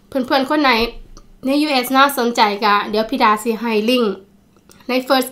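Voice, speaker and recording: A bright, sharp tone carries fairly even intonation. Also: woman. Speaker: food vlogger. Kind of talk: casual vlog chat. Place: home room. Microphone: phone near.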